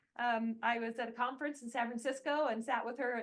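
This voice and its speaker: A woman with an American accent speaks in a high pitch with ordinary pitch variation. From United States. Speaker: academic, seminar moderator. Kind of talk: event introduction.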